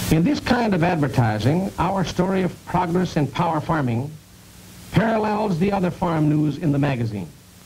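A man with a high pitch speaks with lively intonation and very even loudness against noticeable background noise. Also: moderate pace. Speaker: sales executive. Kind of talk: corporate sales training film narration.

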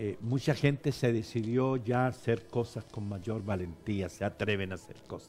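Over light background noise, a man with a medium pitch and a somewhat breathy voice talks at a fairly slow pace with hardly any pauses, ordinary pitch variation and big swings in loudness. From Chile. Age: 70s. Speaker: bishop. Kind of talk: interview. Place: studio. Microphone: lapel.

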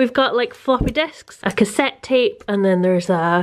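A woman in a Scottish accent, at a fairly slow pace, against a quiet background. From Scotland. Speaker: vlogger, mother and architect. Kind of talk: casual vlog narration. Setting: at home. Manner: animated. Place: home room. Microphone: phone near.

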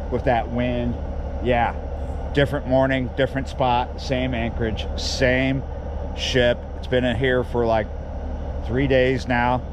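Noticeable background noise surrounds a man speaking at a fairly slow pace. The sound is dry, with no echo. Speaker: fishing vlogger. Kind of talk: casual vlog chat. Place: waterside. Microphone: phone near.

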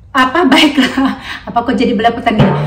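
A woman's high voice with music in the background. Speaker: home cooking vlogger. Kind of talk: casual cooking tutorial chat. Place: kitchen. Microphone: phone near.

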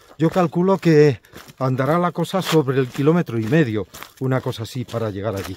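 A man's moderately paced speech, with ordinary pitch variation, comes through light background noise. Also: dry sound with no echo. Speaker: pilgrim hiker vlogger. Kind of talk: casual vlog chat. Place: open country. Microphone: phone near.

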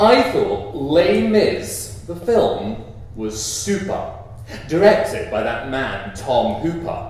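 Strong room echo surrounds a man who speaks at a very slow pace. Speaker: performance poet. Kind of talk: comic rhyming performance poetry. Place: stage.

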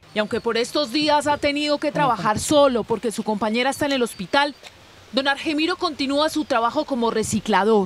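Someone talks at a moderate speed, and noticeable background noise is present. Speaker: TV news reporter. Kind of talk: TV news report narration.

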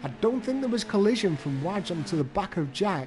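Noticeable background noise sits behind a man whose high-pitched voice makes very wide pitch swings. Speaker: sim-racing commentator. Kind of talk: live race commentary. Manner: reacts to crashes as they happen.

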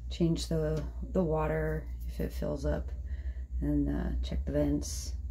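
Very slow speech over noticeable background noise. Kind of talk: casual vlog chat. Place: bathroom. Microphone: phone near.

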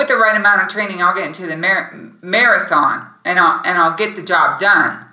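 Amid audible room echo, a woman speaks with ordinary pitch variation. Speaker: podcast host. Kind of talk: devotional teaching talk. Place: home room. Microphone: webcam.

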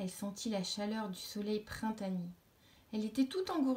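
The voice is plain reading aloud. Its pitch varies an ordinary amount.

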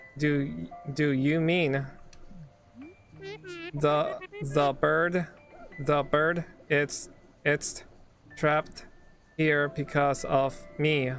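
Music plays behind a woman in a put-on character voice whose very deep, low pitch, monotone, flat intonation and very even loudness come at a very slow pace with long, frequent pauses. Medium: virtual streamer. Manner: emotional.

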